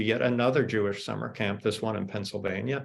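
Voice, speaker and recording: This man has an ordinary speaking voice with an American accent. His pitch is fairly low, with ordinary pitch variation. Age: 60s. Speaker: author. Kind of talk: panel discussion. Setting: video call.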